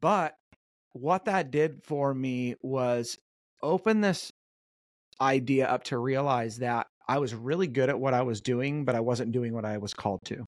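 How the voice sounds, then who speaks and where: Heard in a very clean recording with a silent background and a dry, close sound with no echo, a normal speaking voice with an American accent moves at a fairly slow pace with ordinary pitch variation. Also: man, medium pitch for a man. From Southern California, North Orange County. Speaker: performance coach and author. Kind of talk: interview. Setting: podcast.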